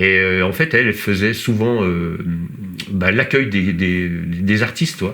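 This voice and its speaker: In a room with audible echo, a man with a very deep, low pitch and a bright, sharp tone speaks very slowly, with very even loudness and ordinary pitch variation. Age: 50s. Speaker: trail runner and former rock musician. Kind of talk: casual interview chat. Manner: halting, many hesitations.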